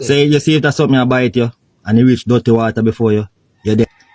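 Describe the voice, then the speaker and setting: A man with a Jamaican accent and lively intonation, dry and close with no echo. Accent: Jamaican Patois. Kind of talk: casual comedic reaction talk.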